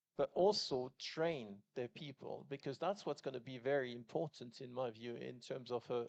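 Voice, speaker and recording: This man talks at a moderate pace in a medium pitch. The sound is dry and close, with no echo. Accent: French. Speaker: business executive, panelist. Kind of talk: panel discussion. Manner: halting, many fillers.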